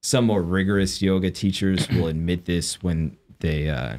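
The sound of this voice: In a very clean recording with a silent background, a man speaks at a low pitch with a slightly mellow tone. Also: ordinary pitch variation, moderate pace.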